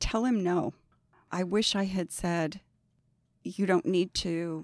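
On a very clean recording with a silent background, a woman talks at a very slow pace and a fairly low pitch. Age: 60s. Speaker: agency accounting director. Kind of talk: casual interview. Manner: laughs often.

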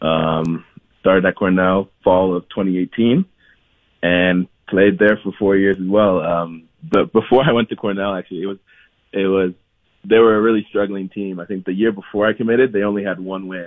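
An ordinary speaking voice with an American accent keeps a moderate pace and fairly even intonation. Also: man, fairly low pitch for a man. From US Midwest, Columbus, Ohio. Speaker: professional soccer player. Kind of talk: radio interview.

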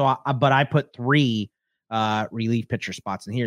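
Here a man of medium pitch talks at a moderate pace with ordinary pitch variation. The sound is dry and close, with no echo. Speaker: fantasy baseball podcast co-host. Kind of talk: casual chat. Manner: loud.

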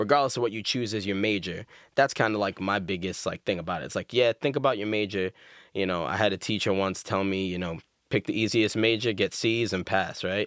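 In an American accent, a man with an ordinary speaking voice talks at a fairly quick pace, fairly low in pitch with fairly even intonation, on a very clean recording with a silent background and a dry, close sound with no echo. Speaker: school administrator. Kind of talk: casual chat. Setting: studio.

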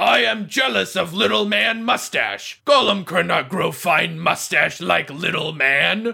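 A man's loud, high-pitched put-on character voice at a fairly slow pace with hardly any pauses. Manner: broken, simple speech.

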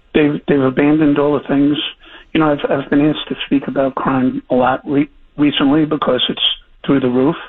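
A man's fairly high-pitched, ordinary speaking voice, moderately paced and fairly even in intonation. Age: 60s. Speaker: former police chief. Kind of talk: interview.

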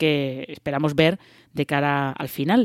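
A very clean recording, silent in the background, of fairly slow speech. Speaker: podcast host. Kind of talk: casual chat. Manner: hesitant, many fillers.

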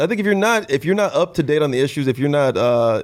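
Very clean audio against a silent background, with lively intonation. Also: man. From California, born in Los Angeles, raised in rural areas. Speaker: comedian. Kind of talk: casual banter.

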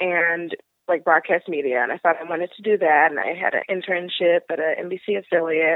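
A woman speaks with an American accent. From Pittsburgh, US. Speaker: podcast guest. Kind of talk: casual interview conversation.

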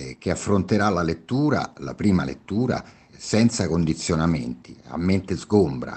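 Very deep and low in pitch, a man speaks at a fairly slow pace with vocal fry and very wide pitch swings. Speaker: author. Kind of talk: podcast discussion.

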